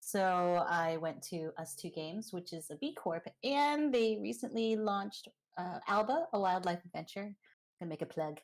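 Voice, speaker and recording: With an American accent and lively intonation, a woman of medium pitch talks at a moderate pace in a normal speaking voice. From US South, Georgia. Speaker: game director. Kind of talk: panel discussion.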